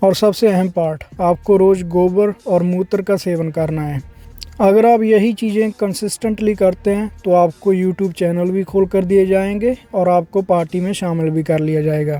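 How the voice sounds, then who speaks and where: With music in the background, a man speaks at a high pitch with fairly even intonation. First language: Punjabi (speaking Hindi). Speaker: YouTube commentator. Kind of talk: opinion commentary. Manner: sarcastic.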